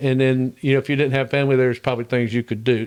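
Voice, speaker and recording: A man's medium-pitched voice in a Southern US accent at a very fast pace, in a very clean recording with a silent background. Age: 70s. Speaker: heating and air business owner. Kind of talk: podcast interview. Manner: halting.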